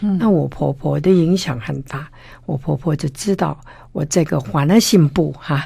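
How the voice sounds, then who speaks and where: A woman with a Cantonese accent speaks in a very deep, low voice marked by vocal fry. Her pace is fairly slow. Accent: Cantonese-accented Mandarin. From Hong Kong. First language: Cantonese (speaking Chinese). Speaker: art collector and author. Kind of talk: interview.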